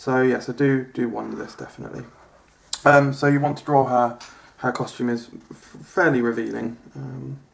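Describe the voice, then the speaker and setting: Over noticeable background noise, a speaker with an English accent talks at a moderate pace in a monotone, flat intonation. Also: man, medium pitch for a man, big swings in loudness. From England. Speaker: comedian. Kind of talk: comedic drawing tutorial sketch. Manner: hesitant, many fillers.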